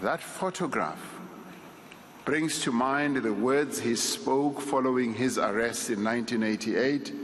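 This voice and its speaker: A man talks with very even loudness and ordinary pitch variation over noticeable background noise. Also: medium pitch for a man, fairly slow pace. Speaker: eulogy speaker, state leader. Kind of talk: eulogy delivered at a funeral service. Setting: memorial service speech.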